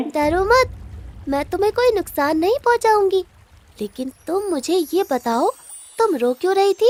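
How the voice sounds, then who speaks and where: A female-sounding put-on character voice at an extremely high pitch and a moderate pace. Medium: read story. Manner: gentle, soothing.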